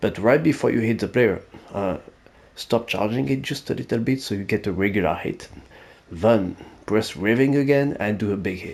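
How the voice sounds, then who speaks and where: Lively intonation with a French accent. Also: man, medium pitch for a man, moderate pace. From France. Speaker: gaming YouTuber. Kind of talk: gaming tutorial. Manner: casual, hesitant with fillers.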